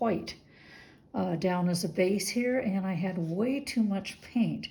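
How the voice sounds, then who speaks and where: Somewhat breathy with a dark, mellow tone, a woman of medium pitch speaks at a fairly slow pace with ordinary pitch variation. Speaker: fluid artist. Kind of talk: casual talk to camera.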